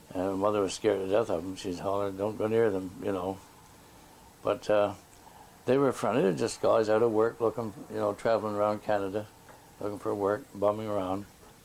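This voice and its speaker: With a Nova Scotian accent, a man speaks at a fairly quick pace. His pitch is fairly low and his intonation fairly even. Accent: rural Nova Scotian. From Nova Scotia, Digby area. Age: 70s. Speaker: elder interviewee. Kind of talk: oral history interview. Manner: halting.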